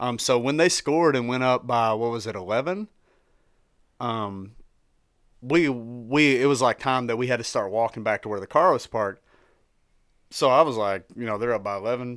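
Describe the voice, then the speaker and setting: Heard in a very clean recording with a silent background, a man of medium pitch speaks at a moderate pace with long, frequent pauses. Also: ordinary pitch variation. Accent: slight Tennessee. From Tennessee. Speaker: sports merchandise seller. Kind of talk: casual chat. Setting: studio.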